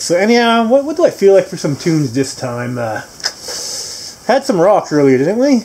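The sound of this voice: At a moderate pace, a man speaks in a high pitch with a dark, mellow tone.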